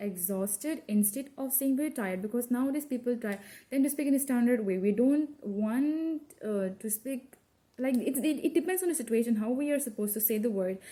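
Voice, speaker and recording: A woman with a slight non-native accent speaks at a moderate pace in a high voice. Her tone is dark and mellow, and her intonation is lively. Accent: slight mother-tongue tone in English. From India, Assam. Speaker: college student. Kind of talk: class presentation. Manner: halting, with self-corrections.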